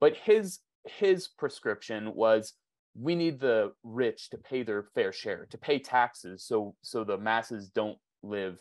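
Using an ordinary speaking voice, a man with an American accent talks at a fairly slow pace with lively intonation over a quiet background. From US, Phoenix, Arizona. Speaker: journalist and documentary filmmaker. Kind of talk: interview.

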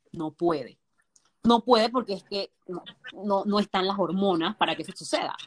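A woman speaks at a medium pitch and moderate pace, with ordinary pitch variation. Her loudness swings widely, and the sound is dry and close with no echo. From Panama, Colón. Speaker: nutritionist. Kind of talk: podcast interview.

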